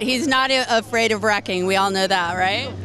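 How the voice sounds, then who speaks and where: Fairly quick pace and ordinary pitch variation, with light background noise and a dry sound with no echo. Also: woman. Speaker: interviewee. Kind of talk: interview answer. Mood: cheerful, laughing. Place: street. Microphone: handheld.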